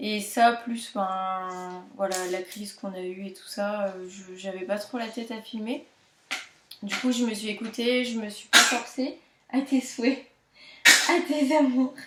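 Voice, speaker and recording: Very slowly and with big swings in loudness, a woman speaks at a fairly high pitch with ordinary pitch variation. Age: 20s. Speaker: knitting podcaster. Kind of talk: casual chat. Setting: at home. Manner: hesitant, many fillers.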